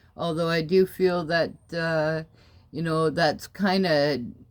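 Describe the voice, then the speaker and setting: Fairly slow speech in a very clean recording with a silent background. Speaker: vlogger and painter. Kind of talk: personal video diary. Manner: halting.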